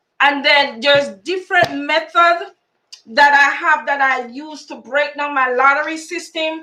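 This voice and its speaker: A woman speaks in a raised, projected voice with a bright, sharp tone, high pitch and fairly even intonation, at a fairly slow pace with big swings in loudness. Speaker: lottery YouTuber. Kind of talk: live stream tutorial.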